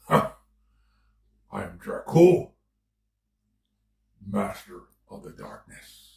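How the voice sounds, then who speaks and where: A man's put-on character voice at a very slow pace with long, frequent pauses. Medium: role play. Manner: menacing.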